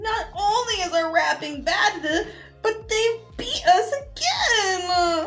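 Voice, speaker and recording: A woman uses a whiny, put-on character voice at a very slow pace over clear background noise. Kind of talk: comic overacting. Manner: whiny, petulant.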